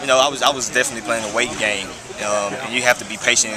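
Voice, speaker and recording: Over noticeable background noise and audible room echo, a man rattles along at a very fast pace with monotone, flat intonation. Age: 20s. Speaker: college football player. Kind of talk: interview.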